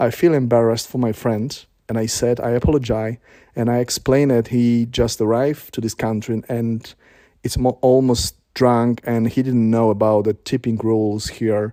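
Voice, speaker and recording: Speaking with a Polish accent, a man uses a medium pitch and a dark, mellow tone at a moderate pace. His intonation is monotone and flat, on a very clean recording with a silent background. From Poland. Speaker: vlogger. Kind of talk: personal testimony. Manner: halting.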